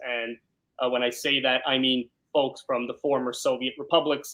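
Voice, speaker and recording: A man in a New York accent, bright, sharp tone. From New York, South Brooklyn. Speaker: criminal defense lawyer. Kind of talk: interview.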